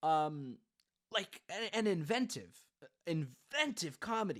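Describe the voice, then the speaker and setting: His pitch swings very widely as a man talks. The voice is raised and projected, bright and sharp in tone. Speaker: movie reviewer. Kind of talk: casual chat. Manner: animated.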